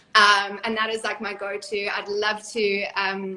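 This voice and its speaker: Noticeable background noise runs under this recording. A woman speaks in a fairly high voice. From South Africa. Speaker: reality TV cast member and author. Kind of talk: interview.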